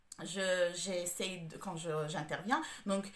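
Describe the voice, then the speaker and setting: Noticeable background noise sits behind a woman talking at a medium pitch. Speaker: home organizer. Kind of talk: tutorial. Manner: halting, many hesitations.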